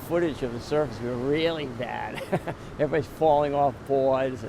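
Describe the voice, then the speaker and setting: Noticeable background noise beneath a man's voice of fairly high pitch. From Rhode Island. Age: 60s. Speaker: surfer. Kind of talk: interview.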